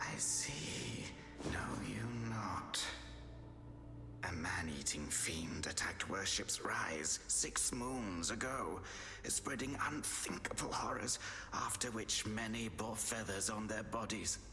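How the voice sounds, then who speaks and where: A man whispers in a put-on character voice at a fairly slow pace. Clear background noise is present. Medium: game stream. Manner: formal, archaic, measured.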